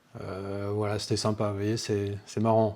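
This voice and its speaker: Here a man talks at a moderate pace in a dark, mellow tone. The recording is very clean, with a silent background. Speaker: paranormal investigation youtuber. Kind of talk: casual video commentary. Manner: hesitant, many fillers.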